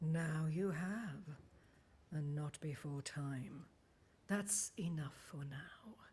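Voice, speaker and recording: In a put-on character voice of middle pitch, the speaker goes at a very slow pace with long, frequent pauses. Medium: video game. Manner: cryptic, measured.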